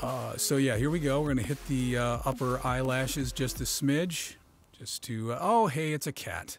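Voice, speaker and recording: A man's medium-pitched voice in a playful tone, at a moderate pace, with music in the background. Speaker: father. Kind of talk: comedic voice-over narration of a makeup tutorial. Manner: joking, playful, hesitant.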